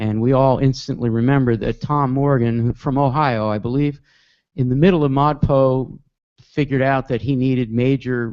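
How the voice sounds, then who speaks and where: Using a normal speaking voice, a man talks with an American accent. His intonation stays fairly even. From New Jersey, near Newark. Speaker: online course instructor. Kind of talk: live webcast talk to students. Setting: video webcast.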